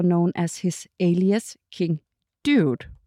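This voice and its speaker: Very slow speech with a dark, mellow tone in a Danish accent comes through dry and close with no echo, on a very clean recording with a silent background. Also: woman. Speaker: podcast host. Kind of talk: casual interview. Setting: studio.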